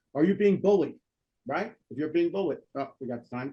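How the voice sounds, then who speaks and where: The speaker talks at a fairly quick pace with a New Jersey accent and ordinary pitch variation. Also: man. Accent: New Jersey American. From North Jersey, US. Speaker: political commentary show host. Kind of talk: casual talk show chat. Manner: halting with many fillers.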